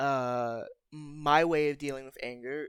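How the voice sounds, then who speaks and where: A man's fairly high voice is captured in a very clean recording with a silent background. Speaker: gaming video creator. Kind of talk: casual talk to camera over gameplay. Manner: casual, hesitant.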